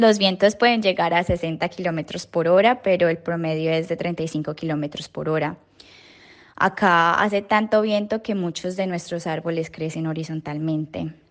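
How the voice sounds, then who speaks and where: An ordinary speaking voice from a woman, fairly low in pitch, with fairly even intonation, a moderate pace and a quiet background. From Colombia, Cali. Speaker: listener sending voice message. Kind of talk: recorded voice message.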